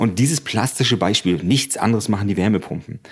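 A normal speaking voice with lively intonation. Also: man. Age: 40s. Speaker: engineer and project manager. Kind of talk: on-site interview during a tour.

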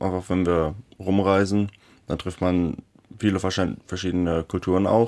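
A man's very deep, low voice at a fairly slow pace, broken by long, frequent pauses, in a very clean recording with a silent background. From Germany, Lower Saxony (Schaumburg district). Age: 20s. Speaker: metalwork apprentice. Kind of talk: radio interview.

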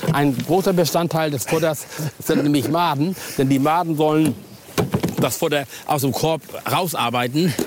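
A man speaks at a moderate pace in a fairly high voice, with very even loudness. He leaves long, frequent pauses, and background noise is noticeable. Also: ordinary pitch variation. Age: old. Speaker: angling expert. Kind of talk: tutorial. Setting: outdoors.

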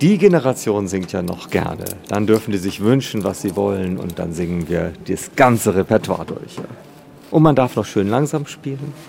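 A man speaks at a moderate pace with lively intonation. Noticeable background noise runs under his voice. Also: fairly low pitch for a man. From East Frisia, northern Germany. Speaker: cathedral organist. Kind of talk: interview. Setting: organ loft in a cathedral.

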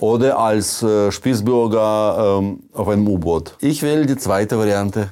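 The man's voice carries a dark, mellow tone. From Soviet Union. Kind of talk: casual chat.

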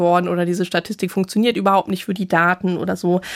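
This woman's voice sits at a medium pitch on a very clean recording with a silent background. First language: bilingual German and English (speaking German). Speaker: science journalist. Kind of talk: casual chat.

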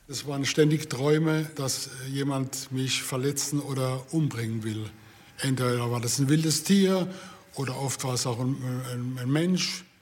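There is noticeable background noise as a man speaks at a fairly slow pace. His intonation stays fairly even. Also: medium pitch for a man. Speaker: patient and city tour guide. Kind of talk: interview testimony.

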